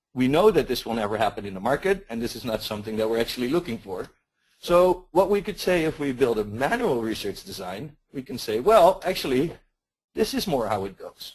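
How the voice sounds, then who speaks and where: A man with a Dutch accent at medium pitch, fairly quick, with very wide pitch swings and big swings in loudness against a quiet background. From Netherlands. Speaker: market research consultant. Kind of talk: webinar presentation. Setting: webinar. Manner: hesitant, repeats words.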